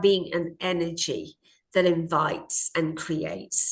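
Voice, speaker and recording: Her tone bright and sharp, a woman speaks at a fairly low pitch against a quiet background. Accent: Australian. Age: 60s. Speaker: parenting coach. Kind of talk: interview.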